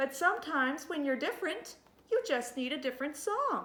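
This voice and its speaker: A woman's put-on character voice, high-pitched and gentle in tone, with lively intonation at a fairly quick pace. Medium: read story.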